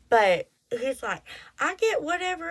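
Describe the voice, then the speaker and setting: With a strong Texas accent, a woman speaks at a fairly slow pace through very wide pitch swings. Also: very clean recording, silent background. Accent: thick Texas. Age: 30s. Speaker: podcast host. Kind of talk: casual monologue. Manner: animated.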